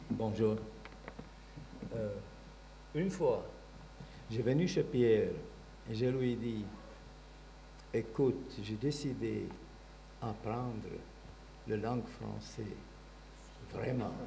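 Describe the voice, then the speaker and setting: Audible room echo fills the space around a man. He speaks at a very slow pace with long, frequent pauses. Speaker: artist. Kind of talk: panel talk, personal memories.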